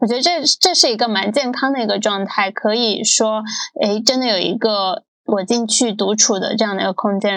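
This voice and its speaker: With an ordinary speaking voice, a woman talks at a moderate pace and a fairly high pitch, using ordinary pitch variation. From Guangdong. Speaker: podcast host. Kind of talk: podcast interview.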